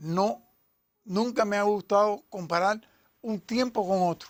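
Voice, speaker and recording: A man's high-pitched voice with ordinary pitch variation on a very clean recording with a silent background. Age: 80s+. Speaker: athletics coach and sports historian. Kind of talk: interview.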